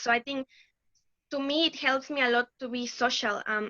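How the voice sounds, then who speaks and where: A woman with a Mexican accent speaks at a high pitch and a moderate pace in a bright, sharp tone, with a dry, close sound and no echo. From Mexico. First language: Spanish. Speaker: laboratory research assistant. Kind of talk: interview.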